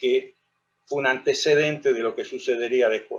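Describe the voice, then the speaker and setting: Speaking at a moderate pace, a man uses a fairly high pitch that moves up and down in an ordinary way. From Argentina, La Rioja. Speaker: lawyer and lecturer on history. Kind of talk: lecture.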